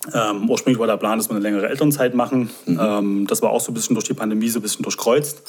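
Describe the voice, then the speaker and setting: Very fast pace with hardly any pauses and fairly even intonation. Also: man, medium pitch for a man. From Saxony, near Dresden. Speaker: guest, new resident. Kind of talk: casual chat.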